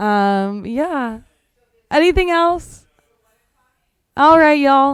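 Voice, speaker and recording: A loud, high-pitched woman speaks very slowly with lively intonation and long, frequent pauses. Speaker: physical therapist leading exercise webinar. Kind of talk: casual Q&A wrap-up of a webinar. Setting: webinar with in-person and online attendees.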